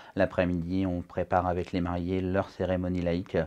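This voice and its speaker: A dark, mellow tone with monotone, flat intonation. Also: man, quiet background. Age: 30s. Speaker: wedding DJ and event host. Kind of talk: interview. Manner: hesitant, many fillers.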